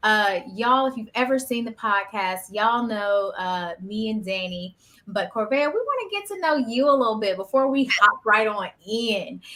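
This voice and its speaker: A woman with an American accent, fairly high pitched, bright and sharp in tone, with ordinary pitch variation and hardly any pauses. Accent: Southern drawl, masked unless comfortable. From US South. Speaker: podcast host. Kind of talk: casual chat. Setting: live stream.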